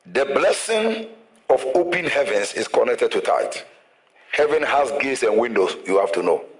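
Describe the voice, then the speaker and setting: Moderate pace and audible room echo. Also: man. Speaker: pastor. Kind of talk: sermon. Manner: energetic.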